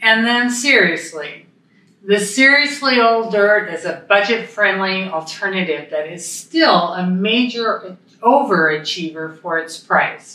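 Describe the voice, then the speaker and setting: Speaking at a very slow pace with lively intonation, a woman with a Pacific Northwest accent is heard over noticeable background noise. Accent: American, Pacific Northwest. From Idaho, Moscow. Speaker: former mayor. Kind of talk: casual chat.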